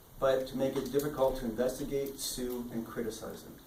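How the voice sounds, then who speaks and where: A man speaks at a medium pitch. Audible room echo and noticeable background noise accompany him. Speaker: author and lawyer giving book talk. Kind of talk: public talk at book fair. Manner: fast.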